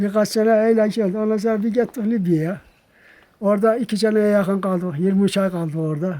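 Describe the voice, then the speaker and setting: At a fairly quick pace, a man talks with a high pitch, a dark, mellow tone and fairly even intonation. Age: 70s. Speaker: retired villager. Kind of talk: documentary interview. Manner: halting.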